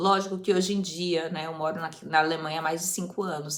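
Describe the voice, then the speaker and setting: A woman speaks with audible room echo around her. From Brazil, Osasco, São Paulo. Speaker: youtuber, language-learning vlogger. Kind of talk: casual vlog talk.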